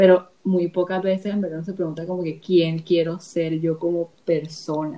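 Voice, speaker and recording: A woman's fairly low, monotone, flat voice at a moderate pace, with noticeable background noise. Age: 20s. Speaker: TikToker. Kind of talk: casual chat.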